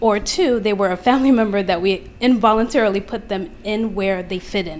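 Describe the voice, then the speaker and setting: Speaking at a fairly quick pace with an American accent, a woman uses a medium pitch with ordinary variation over noticeable background noise. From Queens, New York. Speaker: audience member asking a question. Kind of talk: audience question. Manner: soft-spoken; hesitant.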